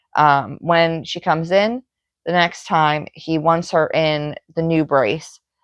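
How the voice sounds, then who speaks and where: A woman with a fairly low pitch talks at a very slow pace. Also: ordinary pitch variation. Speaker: cross stitch vlogger. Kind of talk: casual chat. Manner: hesitant with frequent fillers.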